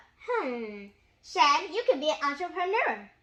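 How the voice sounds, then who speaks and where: A woman speaks in a high, put-on character voice. Her pitch swings very widely at a moderate pace. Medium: read story. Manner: warm, encouraging.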